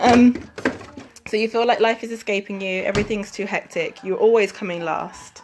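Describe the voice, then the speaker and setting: With an English accent, a woman speaks at a moderate pace in a fairly high pitch with fairly even intonation, against noticeable background noise. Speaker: fitness coach. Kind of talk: live stream chat. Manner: casual, many fillers.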